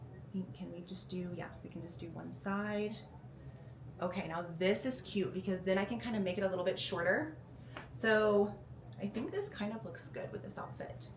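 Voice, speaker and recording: A woman's medium-pitched voice at a moderate pace, with long, frequent pauses and big swings in loudness, amid noticeable background noise and audible room echo. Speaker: fitness vlogger. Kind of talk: casual vlog. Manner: casual, chatty.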